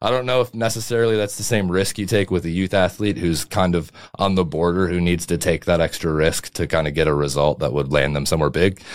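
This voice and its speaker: With hardly any pauses, a man with a very deep, low pitch talks very fast, showing ordinary pitch variation. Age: 20s. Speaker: strength and conditioning coach. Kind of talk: casual chat.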